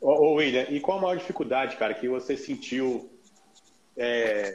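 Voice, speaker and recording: With a normal speaking voice, a man talks at a moderate pace in a fairly high pitch. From Brasília, Brazil. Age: 40s. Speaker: lawyer and livestream host. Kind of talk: casual interview on a livestream.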